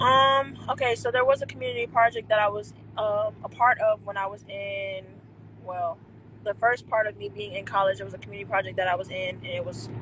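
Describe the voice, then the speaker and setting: A woman with an American accent speaks at a fairly quick pace and a medium pitch, over noticeable background noise. Her pitch swings very widely and her loudness swings a lot. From North Carolina, Jacksonville. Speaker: indie singer. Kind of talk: interview. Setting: live stream video call.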